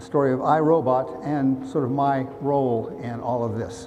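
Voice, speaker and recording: A man with an American accent talks at medium pitch with ordinary pitch variation, amid audible room echo and noticeable background noise. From US South, Ozarks. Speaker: roboticist. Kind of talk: public lecture. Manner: halting, with fillers.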